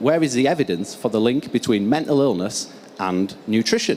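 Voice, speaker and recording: Speaking at a moderate pace, a man with a strong northern English accent uses lively intonation. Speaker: research scientist. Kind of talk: conference keynote presentation.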